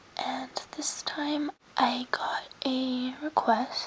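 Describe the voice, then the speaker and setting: A woman whispers over noticeable background noise. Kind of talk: ASMR whisper video showing items to camera. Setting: home bedroom recording. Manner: soft-spoken, whispering.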